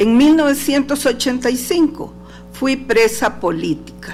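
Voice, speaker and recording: Against music in the background and audible room echo, a woman with a Honduran accent speaks at a very slow pace in a high pitch with ordinary pitch variation. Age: 60s. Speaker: human rights defender. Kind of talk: testimony. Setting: courtroom hearing. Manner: formal.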